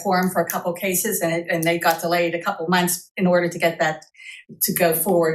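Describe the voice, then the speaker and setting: Very fast and flat in intonation, a woman talks at a fairly low pitch. Audible room echo and noticeable background noise surround her. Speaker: city planning staff presenter. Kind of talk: presentation to city council. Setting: council meeting.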